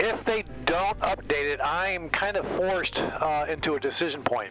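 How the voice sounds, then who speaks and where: A man with a high pitch talks at a moderate pace, his loudness very even and his pitch variation ordinary. Music plays in the background. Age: 60s. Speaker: flight simulator streamer. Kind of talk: casual commentary while playing. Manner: relaxed, hesitant with fillers.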